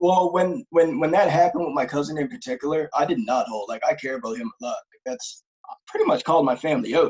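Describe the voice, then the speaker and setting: A fairly high-pitched man at a very fast pace, with hardly any pauses, very wide pitch swings and big swings in loudness, over a quiet background. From Nova Scotia, Canada. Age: 20s. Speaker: group home worker and mental health advocate. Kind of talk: casual interview. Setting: remote video call. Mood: earnest, personal. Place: home room. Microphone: camera far.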